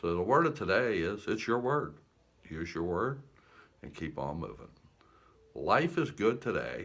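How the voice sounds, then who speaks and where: In a relaxed tone, a man talks at a moderate pace with lively intonation. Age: 70s. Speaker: war veteran and life coach vlogger. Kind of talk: casual motivational monologue. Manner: relaxed, conversational with fillers and repeats.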